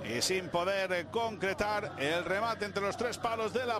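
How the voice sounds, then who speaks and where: At a moderate pace, a man speaks in an animated tone with a high pitch and ordinary pitch variation. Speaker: sports commentator. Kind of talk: live sports commentary. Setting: broadcast recording of a match. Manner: animated, excitable play-by-play.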